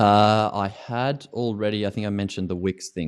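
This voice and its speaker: A man with an Australian accent speaks with fairly even intonation on a very clean recording with a silent background. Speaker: ski coach. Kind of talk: interview. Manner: halting.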